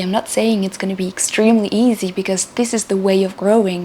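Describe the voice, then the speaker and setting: A woman of medium pitch with a non-native accent, moderate pace and ordinary pitch variation, over noticeable background noise. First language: not English. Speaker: spiritual channel host. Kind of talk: spiritual talk to camera. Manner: halting, with repeated words.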